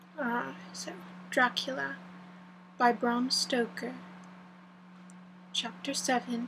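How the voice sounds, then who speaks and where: Soft-spoken, a woman talks at a very slow pace with long, frequent pauses. Her fairly high voice carries lively intonation. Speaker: audiobook reader. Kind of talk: reading aloud. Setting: home recording with windows open. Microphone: voice may be quiet.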